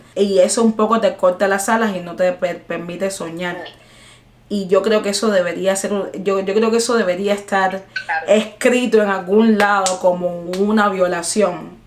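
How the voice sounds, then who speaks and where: Noticeable background noise sits behind a woman with a medium pitch. She talks at a moderate pace in a monotone, flat intonation. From Cuba. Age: 20s. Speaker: jazz singer-songwriter. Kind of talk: interview answer. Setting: video call.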